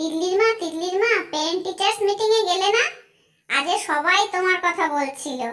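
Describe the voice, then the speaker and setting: In a squeaky, cartoonish character voice at an extremely high pitch, a woman speaks at a moderate pace with ordinary pitch variation. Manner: chatty.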